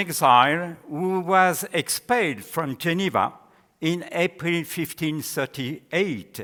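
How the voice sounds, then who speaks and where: Someone speaks at a very slow pace in a French accent, in a very clean recording with a silent background. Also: man. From France. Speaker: historian and theologian. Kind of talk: academic lecture read from a paper. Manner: formal.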